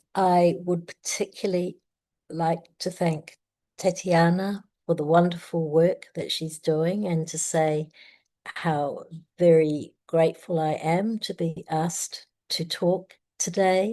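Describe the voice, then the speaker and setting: A woman with a New Zealand accent speaks very slowly in a fairly low, dark, mellow voice. Her intonation stays flat and monotone over a quiet background. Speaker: family mediator. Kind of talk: conference talk.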